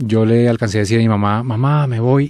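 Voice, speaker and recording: A dark, mellow tone with ordinary pitch variation comes through in a dry, close sound with no echo. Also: man. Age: 40s. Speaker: musician sharing faith testimony. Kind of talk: testimony.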